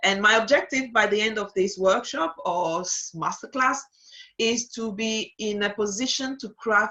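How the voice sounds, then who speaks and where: With a French accent, a woman speaks at medium pitch. Her tone is bright and sharp. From Togo (Lomé). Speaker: digital strategist. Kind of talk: webinar masterclass. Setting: online webinar. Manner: hesitant with frequent fillers.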